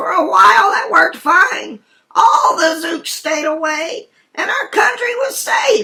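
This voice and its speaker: At a fairly slow pace, the voice sits at an extremely high pitch and makes very wide pitch swings. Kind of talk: rhyming bedtime story. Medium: read story.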